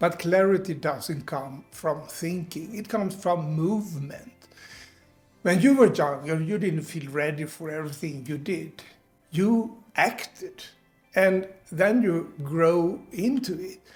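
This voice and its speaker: With music in the background, a man talks at a very slow pace in a high pitch with ordinary pitch variation. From Sweden. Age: 70s. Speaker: retiree, online business coach. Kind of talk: motivational talk to camera.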